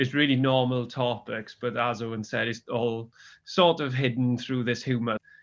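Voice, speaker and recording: The speaker has a Welsh accent. The pace is moderate and the intonation fairly even. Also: man. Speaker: magazine co-editor. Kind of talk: interview.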